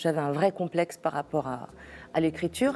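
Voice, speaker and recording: A woman in a Spanish accent speaks at a moderate pace with ordinary pitch variation while music plays in the background. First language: Spanish (speaking French). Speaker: singer-songwriter. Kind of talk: interview. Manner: halting, many hesitations.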